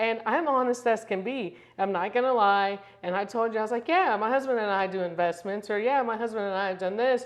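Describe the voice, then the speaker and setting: A woman speaks at a fairly high pitch, with ordinary pitch variation. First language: Spanish. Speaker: real estate broker. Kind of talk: casual interview chat. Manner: filler-heavy, conversational.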